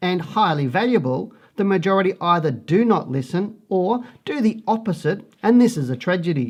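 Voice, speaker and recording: The intonation is lively, delivered with an Australian accent. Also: man. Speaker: stock market analyst. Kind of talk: market report presentation. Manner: slightly halting when reading charts.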